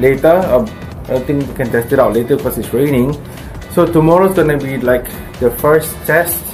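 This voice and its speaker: With clear music playing in the background, a man speaks at a moderate pace with ordinary pitch variation. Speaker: cycling vlogger. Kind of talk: casual vlog chat. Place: home room. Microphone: phone near.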